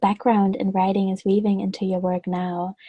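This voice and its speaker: At a medium pitch, a woman with a non-native accent speaks at a moderate pace in a somewhat breathy, dark, mellow tone, the sound dry and close with no echo. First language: not English. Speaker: podcast host and web designer. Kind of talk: interview.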